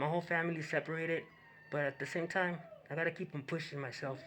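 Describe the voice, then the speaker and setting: Speaking at a very fast pace, a man with a Spanish accent has a fairly high pitch. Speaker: YouTube commentator. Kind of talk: reaction commentary. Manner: halting.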